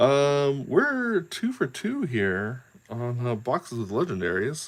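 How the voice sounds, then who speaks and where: Using lively intonation, a man with a medium-pitched voice speaks at a very slow pace. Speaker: card pack opening video creator. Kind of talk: casual unboxing commentary. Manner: loud; animated. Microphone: very close to the camera.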